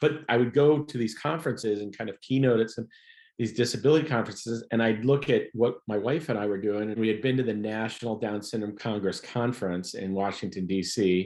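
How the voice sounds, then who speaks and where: At a fairly quick pace, a man with a normal speaking voice talks at a medium pitch with ordinary pitch variation. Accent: American. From Ohio. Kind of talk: interview.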